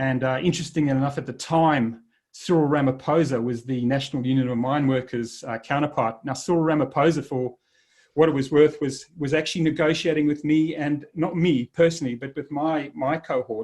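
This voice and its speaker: A man talks with a South African accent. His pace is fairly quick and his intonation fairly even. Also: fairly high pitch for a man. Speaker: leadership speaker, former army officer. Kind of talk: presentation talk. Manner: halting, with fillers.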